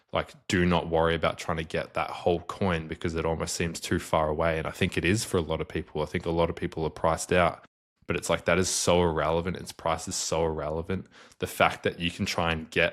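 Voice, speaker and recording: At a fairly quick pace, a man talks in a very deep, low, monotone and flat voice, recorded very cleanly with a silent background. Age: 20s. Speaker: bitcoin investor. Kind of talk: podcast interview. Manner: casual.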